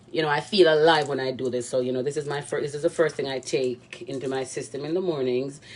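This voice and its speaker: A woman with a Jamaican accent at a very fast pace, fairly even in intonation, over noticeable background noise. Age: young. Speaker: cooking vlogger. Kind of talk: cooking tutorial. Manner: casual, rambling with many fillers.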